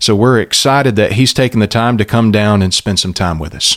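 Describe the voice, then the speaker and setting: In a very clean recording with a silent background, a man uses lively intonation, the sound dry and close with no echo. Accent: Southern US. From US South, southeast Alabama. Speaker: pastor. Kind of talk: interview. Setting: studio.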